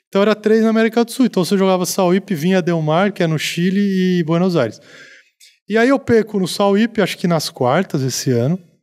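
The speaker is a man with a high pitch and ordinary pitch variation, talking at a fairly quick pace. His loudness stays very even against a quiet background. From interior of São Paulo state, Brazil (Americana); São Paulo state, Brazil. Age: 40s. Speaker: former pro tennis player, sports commentator; sports commentator. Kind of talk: casual chat. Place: studio. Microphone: studio mic.

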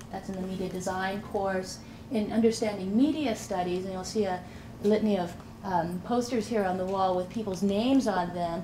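Noticeable background noise sits behind a woman's voice. She speaks at a moderate pace with fairly even intonation. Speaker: program director. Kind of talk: presentation. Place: classroom.

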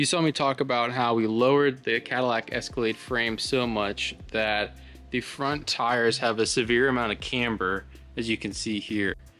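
Faint music plays in the background as the speech moves at a moderate pace with ordinary pitch variation. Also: man. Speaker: host. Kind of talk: casual vlog chat. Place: workshop. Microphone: phone near.

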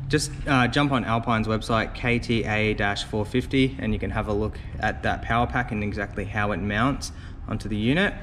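Moderate pace over noticeable background noise. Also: man. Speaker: car audio installer reviewer. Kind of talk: product review walkthrough.

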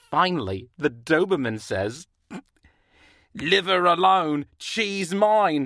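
A cartoonish character voice speaks at a middle pitch. It moves very slowly with long, frequent pauses. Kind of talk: joke telling. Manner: eager, playful.

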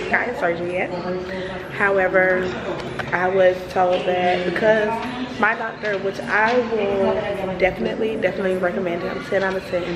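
Loud background noise fills the clip while a woman talks at a moderate pace. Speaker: vlogger. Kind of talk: casual vlog chat. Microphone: phone near.

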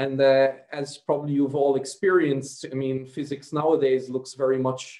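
In a quiet background with audible room echo, a man talks at a moderate pace. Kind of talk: lecture. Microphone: video call.

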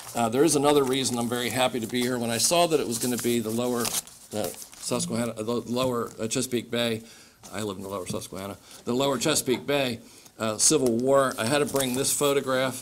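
Light background noise sits under a man with an American accent. He talks very fast, with fairly even intonation. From Maryland. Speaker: state government official. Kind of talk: public speech. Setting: stage with audience. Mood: warm, anecdotal. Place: hall. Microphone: podium.

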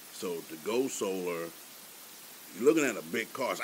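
Over noticeable background noise, a man speaks in a very deep, low voice. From Baltimore, Maryland. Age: 60s. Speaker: retired military veteran. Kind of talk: research interview.

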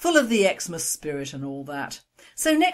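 Over a quiet background, the reading voice sounds natural.

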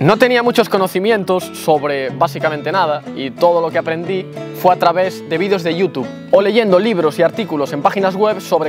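Against clear music in the background, a man talks at a fairly quick pace and a high pitch, with ordinary pitch variation, in a dry sound with no echo. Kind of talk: casual vlog chat. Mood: calm, reflective storytelling. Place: garden. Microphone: lapel.

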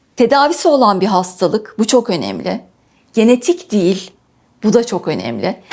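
Vocal fry runs through this woman's fairly high voice. Her intonation is lively. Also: moderate pace. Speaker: patient sharing illness story. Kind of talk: interview testimony.

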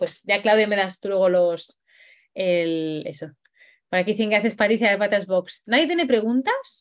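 Against a quiet background, a woman speaks at a moderate pace. Her tone is animated, with ordinary pitch variation. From Spain. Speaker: dog trainer; dog trainer hosting a workshop. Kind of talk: live online workshop; live online workshop talk. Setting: livestream. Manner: hesitant, many fillers. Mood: cheerful, enthusiastic. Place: home room. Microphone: video call.

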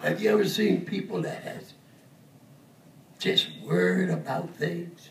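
A man speaks at a fairly slow pace with long, frequent pauses. Audible room echo and light background noise surround him. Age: 80s+. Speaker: preacher. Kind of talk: sermon. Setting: church service with congregation responses. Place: church.

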